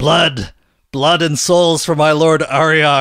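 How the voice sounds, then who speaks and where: A man shouts in a put-on character voice at a fairly high pitch. The recording is very clean, with a silent background. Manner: screaming.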